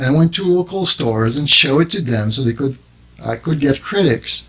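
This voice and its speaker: The intonation is lively. The voice is somewhat breathy. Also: man. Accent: French. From Quebec, Montreal suburb. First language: French. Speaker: drum maker and business owner. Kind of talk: interview. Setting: studio. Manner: halting.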